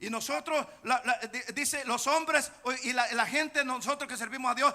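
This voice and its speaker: A man's raised, projected voice, extremely high-pitched, with a bright, sharp tone, ordinary pitch variation and a moderate pace. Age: 60s. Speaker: pastor. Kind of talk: sermon.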